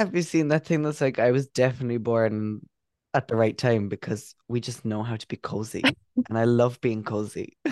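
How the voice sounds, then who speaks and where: Here is a man with an Irish accent at a medium pitch. He talks at a moderate pace with ordinary pitch variation. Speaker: podcast co-host. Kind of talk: casual chat.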